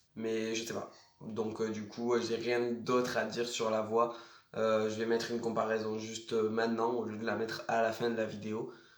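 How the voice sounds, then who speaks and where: A man's monotone, flat delivery at a moderate pace, with audible room echo. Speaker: vlogger. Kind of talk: casual vlog. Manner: casual, hesitant with many fillers.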